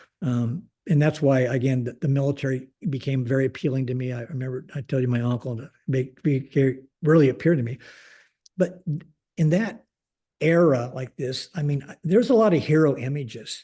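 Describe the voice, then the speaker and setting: This man has a dark, mellow tone at a medium pitch, somewhat breathy. He speaks with a Pacific Northwest accent and ordinary pitch variation. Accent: General American (Pacific Northwest). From US Pacific Northwest (Portland, Oregon). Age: 70s. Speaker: retired air force general. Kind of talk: interview conversation. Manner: halting, many fillers and restarts.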